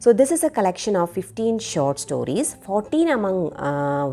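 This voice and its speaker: A woman speaks at a moderate pace in a Keralan accent. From India (Kerala). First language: Malayalam. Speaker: book reviewer. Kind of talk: book review monologue. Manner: halting, many fillers.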